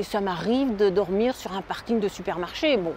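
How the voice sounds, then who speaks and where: Over noticeable background noise, a woman speaks at a moderate pace. Her fairly high pitch shows ordinary variation. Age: 60s. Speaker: van dweller, seasonal bus driver. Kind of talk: interview. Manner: hesitant, with many fillers.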